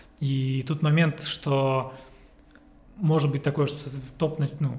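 This is a man speaking. His pitch is fairly high. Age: 30s. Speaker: business consultant. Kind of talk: casual chat.

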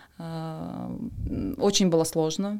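A woman's dark, mellow tone at a fairly low pitch, on a very clean recording with a silent background. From Western Siberia, Russia. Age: 30s. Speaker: pharma marketing director. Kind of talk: podcast interview.

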